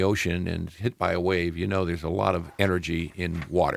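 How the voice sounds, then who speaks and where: This man's pitch is very deep and low. He has an American accent. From US Midwest (Peoria, Illinois). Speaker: energy company executive. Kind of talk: radio interview. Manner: halting, many fillers.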